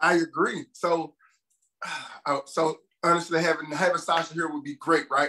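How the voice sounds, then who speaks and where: Monotone, flat intonation in a bright, sharp tone, with long, frequent pauses and light background noise. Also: man, high pitch for a man, moderate pace. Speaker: podcast co-host. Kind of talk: casual podcast discussion. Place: home room. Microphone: video call.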